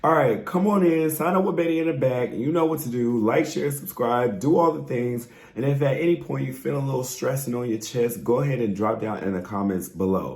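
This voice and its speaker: A man's medium-pitched voice, animated and lively in intonation, at a fairly quick pace with hardly any pauses, amid noticeable background noise and audible room echo. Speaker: reality TV recap YouTuber. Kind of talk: casual vlog review.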